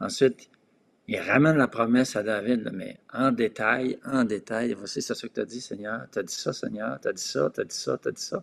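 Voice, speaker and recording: A man talks at a fairly slow pace in an ordinary speaking voice. His pitch is medium, with ordinary variation. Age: 60s. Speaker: pastor. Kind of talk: discussion on prayer.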